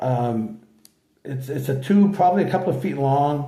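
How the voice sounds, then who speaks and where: A man's somewhat breathy voice with a dark, mellow tone and lively intonation, in audible room echo. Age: 60s. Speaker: channel host sharing health story. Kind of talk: casual personal vlog talk. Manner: halting, many fillers.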